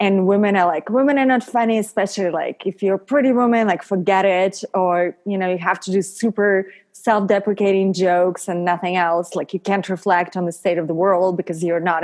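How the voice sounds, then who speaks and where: A woman with a Russian accent talks at a fairly quick pace with hardly any pauses and fairly even intonation. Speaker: model, actress and stand-up comedian. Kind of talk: podcast interview.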